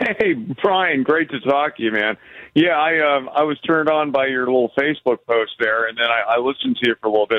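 In an unremarkable speaking voice, a man talks at a fairly high pitch. His intonation is lively and his pace fairly quick. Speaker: rideshare driver, radio caller. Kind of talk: call-in conversation. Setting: phone call.

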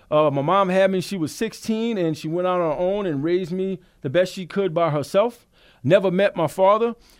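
This man has a high pitch, ordinary pitch variation and a fairly quick pace. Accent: Louisiana. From Louisiana, south of New Orleans. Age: 40s. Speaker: recovering alcoholic, sobriety talk host. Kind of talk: testimony. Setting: studio.

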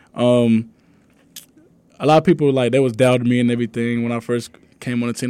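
A man with an American accent, medium-pitched, talking at a very fast clip, in a very clean recording with a silent background. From East Texas. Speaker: college football player. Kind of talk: radio interview. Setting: studio.

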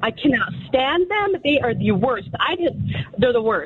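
A woman speaks in an energetic tone with very wide pitch swings at a moderate pace. Noticeable background noise runs under her voice. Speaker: caller. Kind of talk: casual chat.

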